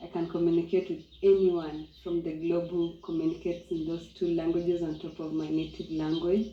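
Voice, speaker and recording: A woman with a Kenyan accent speaks at a moderate pace in a fairly low pitch with a dark, mellow tone. Her intonation is monotone and flat. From Kenya, Maasai community. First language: Maasai. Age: young. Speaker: eco lodge co-owner. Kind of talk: interview testimony.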